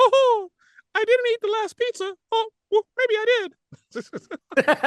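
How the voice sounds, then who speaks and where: A put-on character voice pitched extremely high. It moves at a moderate pace. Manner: exaggerated, comedic.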